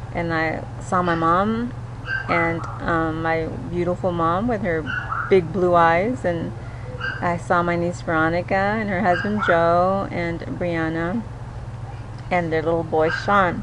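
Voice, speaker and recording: A woman at a fairly low pitch with ordinary pitch variation, very slow and with long, frequent pauses, amid audible room echo and noticeable background noise. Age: 50s. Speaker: cancer patient vlogger. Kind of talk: personal video diary. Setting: outdoors in backyard. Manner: halting, many fillers.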